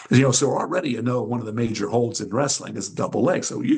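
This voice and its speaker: A man's medium-pitched voice with vocal fry at a very fast pace. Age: 70s. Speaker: retired champion wrestler and wrestling instructor. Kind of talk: interview. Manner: rambling, many fillers.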